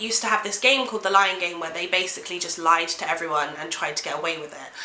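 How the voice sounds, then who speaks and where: A woman's lively intonation amid noticeable background noise. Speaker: book reviewer. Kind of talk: casual talk to camera.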